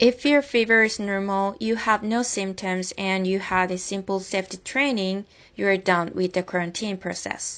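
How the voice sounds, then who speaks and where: A woman with a Korean accent, medium in pitch, at a moderate pace, with fairly even intonation and hardly any pauses. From South Korea. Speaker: college news videographer. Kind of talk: video narration.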